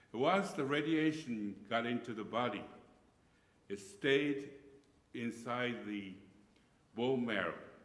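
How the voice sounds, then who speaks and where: Pausing long and often, a man talks at a very slow pace with ordinary pitch variation amid audible room echo. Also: medium pitch for a man. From Japan. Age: 70s. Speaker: pastor. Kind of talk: lecture. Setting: church. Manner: halting.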